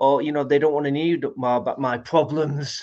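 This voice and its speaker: Against a quiet background, a man with a Manchester accent speaks at a moderate pace, his fairly high pitch showing ordinary variation. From Manchester, northern England. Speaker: guest speaker. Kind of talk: interview chat.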